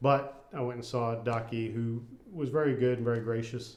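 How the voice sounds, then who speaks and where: Mumbling in a medium pitch, a man is heard with audible room echo. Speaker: cancer patient vlogger. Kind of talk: personal video diary. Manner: casual.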